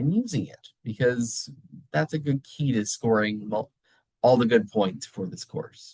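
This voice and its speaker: A somewhat breathy man's voice, fairly slow and lively in intonation, dry with no echo against a quiet background. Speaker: college instructor. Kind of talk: recorded lecture. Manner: casual, conversational. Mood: encouraging, reassuring. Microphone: webcam.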